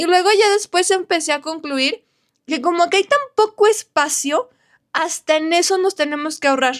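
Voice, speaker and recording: A woman speaks at a moderate pace in an extremely high pitch. Her tone is animated and her intonation lively, with a dry, close sound and no echo. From northern Mexico, Saltillo, Coahuila. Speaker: architect and vlogger. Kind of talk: casual vlog. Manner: chatty, animated.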